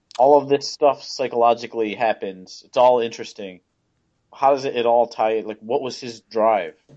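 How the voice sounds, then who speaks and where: This man has an unremarkable speaking voice at a medium pitch and a moderate pace. His intonation stays fairly even while his loudness swings widely. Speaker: co-host. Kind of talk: casual chat.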